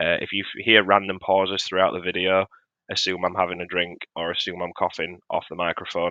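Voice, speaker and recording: A man's very deep, low pitch carries at a moderate pace. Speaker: tabletop wargaming content creator. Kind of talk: tier list commentary. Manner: lower, restrained cadence.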